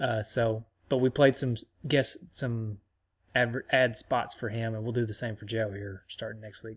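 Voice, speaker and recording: Over a very clean recording with a silent background, a man speaks at a medium pitch and a fairly slow pace. His voice is somewhat breathy, with fairly even intonation and big swings in loudness. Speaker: podcast host. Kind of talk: casual chat.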